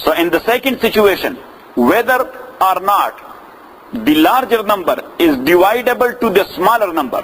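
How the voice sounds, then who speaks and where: Amid noticeable background noise, a high-pitched man speaks at a moderate pace with lively intonation, very even loudness, and long, frequent pauses. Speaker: Islamic scholar teaching. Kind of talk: lecture. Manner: repetitive, questioning audience.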